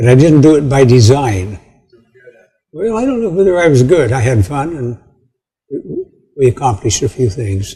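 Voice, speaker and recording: Speaking at a moderate pace with long, frequent pauses, a man uses a medium pitch with very wide pitch swings in a somewhat breathy voice of dark, mellow tone. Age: 80s+. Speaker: retired education professor, community foundation founder. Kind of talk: casual conversation at an honoring event. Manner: halting, repeats words.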